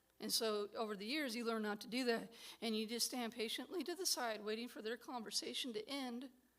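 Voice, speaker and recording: At a fairly quick pace, a woman speaks in a fairly high voice with ordinary pitch variation. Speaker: certified peer specialist and artist presenting. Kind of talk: recorded presentation talk. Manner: mumbling.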